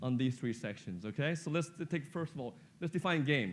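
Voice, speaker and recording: Very fast, lively intonation from a man with fairly high pitch. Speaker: business executive. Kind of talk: keynote speech. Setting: stage with audience. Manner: animated.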